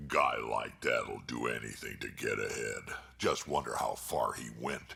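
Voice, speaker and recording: A man performs a put-on character voice. He keeps a moderate pace. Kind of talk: tough soldier talk. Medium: video game. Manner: gruff, blunt.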